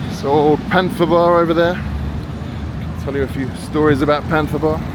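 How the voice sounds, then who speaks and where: A man with a British accent is heard through noticeable background noise and audible room echo. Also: moderate pace. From Britain. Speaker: travel vlogger. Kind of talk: walking tour commentary. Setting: outdoors. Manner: casual, conversational.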